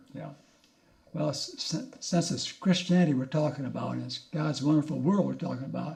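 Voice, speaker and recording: A man speaks at a fairly high pitch against noticeable background noise. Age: 80s+. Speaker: retired biologist. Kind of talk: interview.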